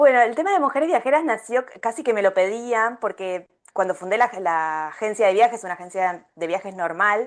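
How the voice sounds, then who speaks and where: In an Argentine accent, a woman speaks at a fairly quick pace with a fairly high pitch and lively intonation. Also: quiet background. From Argentina. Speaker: travel coach and travel agency founder. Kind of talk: podcast interview. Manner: many hesitations (eh, em).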